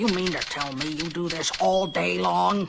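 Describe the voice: Clear background noise sits behind a cartoonish character voice pitched in the middle range. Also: moderate pace.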